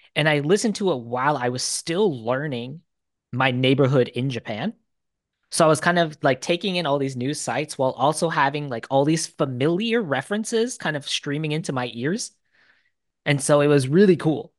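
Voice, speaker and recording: Fairly quick speech against a quiet background. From US Midwest, Detroit. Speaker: board game YouTuber and English teacher. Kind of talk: casual interview chat.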